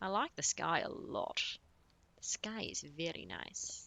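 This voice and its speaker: A woman whispering in an Australian accent. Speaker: video game streamer. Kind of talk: live game commentary. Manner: casual.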